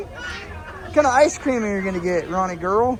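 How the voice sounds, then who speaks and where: A man with an American accent talks in a high pitch for a man, with lively intonation, audible room echo and crowd noise in the background. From Washington state, US Pacific Northwest. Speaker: car vlogger. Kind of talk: casual vlog chat.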